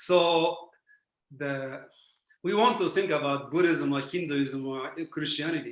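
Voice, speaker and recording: Ordinary pitch variation and a moderate pace mark this speech in a Japanese accent. Room echo is audible. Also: man. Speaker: philosopher. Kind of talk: Q&A answer in online talk.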